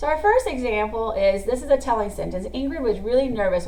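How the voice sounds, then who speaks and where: A woman at a very fast pace, with audible room echo and music in the background. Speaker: teacher. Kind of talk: classroom lesson video.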